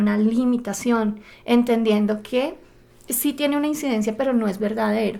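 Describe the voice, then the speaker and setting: Using fairly even intonation, a woman with a Bogotá accent talks at a fairly high pitch. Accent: Bogotá (rolo) Spanish. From Bogotá, Colombia. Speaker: podcast co-host, personal development. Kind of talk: podcast conversation.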